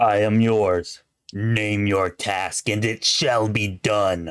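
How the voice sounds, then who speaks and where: A man speaks very slowly in a put-on character voice, his pitch fairly low, on a very clean recording with a silent background. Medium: solo performance.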